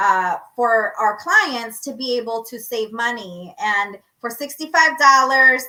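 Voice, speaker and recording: Speaking at a fairly slow pace in a Lao accent, a woman uses a fairly high, bright, sharp voice with an animated tone, lively intonation and big swings in loudness. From Laos (Lao refugee background). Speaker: podcast co-host. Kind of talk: casual live podcast chat. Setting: livestream from home.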